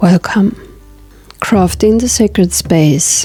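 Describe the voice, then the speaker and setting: Over music in the background, a woman speaks at a medium pitch and a fairly slow pace. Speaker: tarot reader. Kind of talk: guided meditation.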